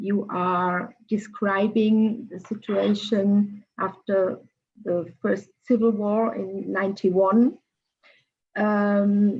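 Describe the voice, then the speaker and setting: Somewhat breathy and fairly high-pitched, a woman speaks with fairly even intonation. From Germany. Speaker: cultural mediator. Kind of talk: panel discussion. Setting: video call.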